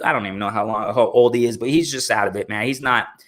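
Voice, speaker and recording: Talking at a very fast pace, a man with an American accent has an animated, bright, sharp tone, vocal fry and lively intonation. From Arizona, US. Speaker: boxing commentator YouTuber. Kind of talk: live stream commentary. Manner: filler-heavy.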